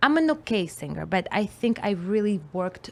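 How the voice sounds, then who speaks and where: This woman speaks with a Russian accent at a fairly slow pace. Her pitch is fairly high. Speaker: musician and comedian. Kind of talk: casual chat. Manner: animated.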